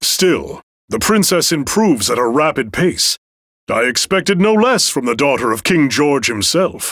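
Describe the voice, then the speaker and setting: A man's put-on character voice, fairly high in pitch with very wide pitch swings, very even in loudness, at a moderate pace. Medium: video game. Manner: courteous, formal.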